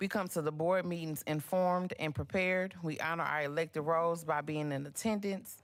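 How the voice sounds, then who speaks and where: A woman speaks at a fairly quick pace in a fairly low pitch with ordinary variation. The recording is very clean, the background silent. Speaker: school board member. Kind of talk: reading aloud. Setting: board meeting. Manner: loud.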